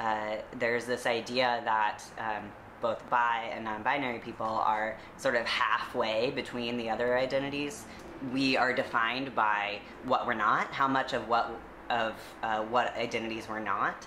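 In a very deep, low pitch, a woman speaks at a moderate pace with monotone, flat intonation over light background noise. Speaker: interview guest. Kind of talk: interview answer. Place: home room. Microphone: webcam.

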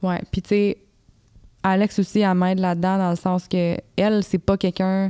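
Against a quiet background, a woman speaks at a moderate pace in a medium-pitched voice with a dark, mellow tone. Her intonation is monotone and flat, and her loudness stays very even. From Quebec. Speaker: fitness influencer and author; podcast guest. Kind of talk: casual interview chat. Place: studio. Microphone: handheld.

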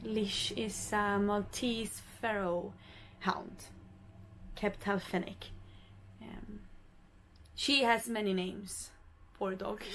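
Speaking very slowly with long, frequent pauses, a woman with a Swedish accent keeps a medium pitch and fairly even intonation over light background noise. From Sweden, Stockholm; Sweden. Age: 20s. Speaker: vlogger and professional dancer; vlogger. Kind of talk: casual vlog. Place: boat.

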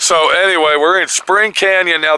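This man speaks at a moderate pace, and the sound is dry with no echo. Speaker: explorer vlogger. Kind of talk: casual vlog chat. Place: open country. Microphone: phone near.

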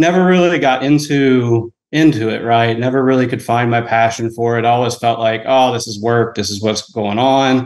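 A man talks with hardly any pauses. The background is quiet. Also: ordinary pitch variation, moderate pace. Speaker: podcast caller. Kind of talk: casual call-in question. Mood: friendly, slightly nervous. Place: home room. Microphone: video call.

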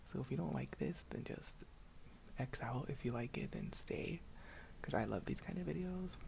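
This is a man whispering. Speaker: ASMR creator. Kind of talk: ASMR video, casual talk to camera. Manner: casual, profane. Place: home room. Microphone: earbuds.

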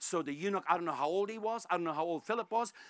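A man's high-pitched, fairly bright voice in a dramatic tone, with ordinary pitch variation and a very fast pace.

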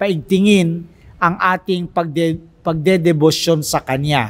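A man speaks at a very slow pace. His voice sits high for a man, with fairly even intonation. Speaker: priest. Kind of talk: religious talk / meditation. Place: church. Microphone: studio mic.

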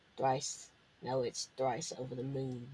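A man's put-on character voice, rumbling, at medium pitch and a fairly slow pace with monotone, flat intonation. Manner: booming, ominous.

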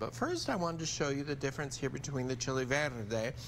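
Light background noise sits under a man's voice marked by vocal fry. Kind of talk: tutorial. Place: studio. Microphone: lapel.

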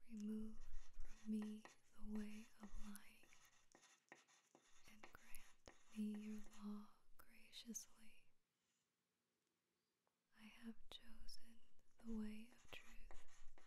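A soft-spoken voice with a gentle tone moves at a very slow pace with long, frequent pauses over light background noise. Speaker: ASMR channel host. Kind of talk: soft-spoken bible reading for sleep / ASMR. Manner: soft-spoken, slow, gentle.

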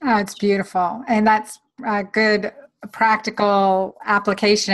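Against a quiet background, a woman with a medium pitch speaks in a monotone, flat intonation. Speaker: physician and podcast host; podcast host. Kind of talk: interview. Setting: video recording. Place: home room. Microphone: webcam.

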